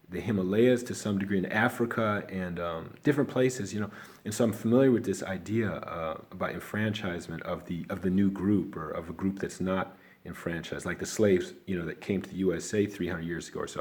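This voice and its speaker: A very fast pace in a Chicago accent, with ordinary pitch variation. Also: man, fairly low pitch for a man. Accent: Chicago American. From Chicago, South Side. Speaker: video blogger. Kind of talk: casual talk to camera. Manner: rambling, halting.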